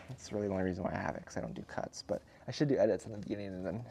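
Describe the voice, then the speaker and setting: A man with an American accent, fairly low in pitch, with ordinary pitch variation and noticeable background noise. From Montana. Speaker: car detailer. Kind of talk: casual monologue while working. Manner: hesitant, many fillers.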